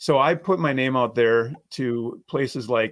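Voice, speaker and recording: Over a very clean recording with a silent background, a man talks in an ordinary speaking voice with an American accent, at medium pitch with ordinary pitch variation. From Minnesota. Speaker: attorney. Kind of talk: casual interview.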